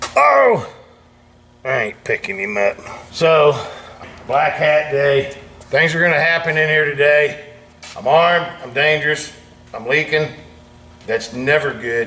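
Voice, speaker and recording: A man's speech with long, frequent pauses against noticeable background noise. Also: ordinary pitch variation. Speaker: channel owner tinkering in a family workshop. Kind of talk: casual vlog monologue. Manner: loud.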